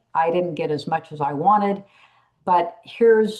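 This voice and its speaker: Speaking at a fairly slow pace, a woman uses a fairly low pitch with lively intonation. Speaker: workplace trainer and speaker. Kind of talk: online talk. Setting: video call. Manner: loud.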